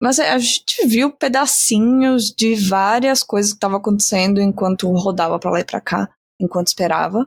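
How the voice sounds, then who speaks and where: With a somewhat breathy, medium-pitched voice, a woman speaks at a moderate pace and with ordinary pitch variation on a very clean recording with a silent background. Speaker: podcast co-host. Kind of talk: casual chat.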